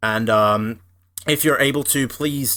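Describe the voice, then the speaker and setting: This voice carries an Australian accent. The intonation stays fairly even. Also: man. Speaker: podcast co-host. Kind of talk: scripted announcement; casual chat. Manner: hesitant, many fillers.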